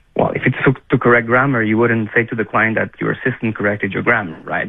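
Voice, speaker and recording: A man with a Quebec accent at a fairly quick pace. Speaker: defence lawyer. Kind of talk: radio interview. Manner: halting, repeats words.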